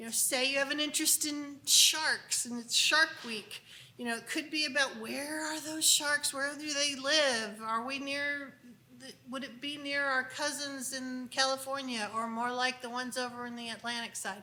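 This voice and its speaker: In a room with audible echo, a woman uses a raised, projected voice at a high pitch, with big swings in loudness. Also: fairly even intonation, moderate pace. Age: 60s. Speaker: unschooling speaker. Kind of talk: conference talk. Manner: conversational.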